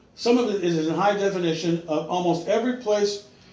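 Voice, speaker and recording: In a room with audible echo, a man speaks with a high pitch. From California. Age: 60s. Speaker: online Bible teacher. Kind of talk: religious teaching monologue. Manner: halting, many repetitions and fillers.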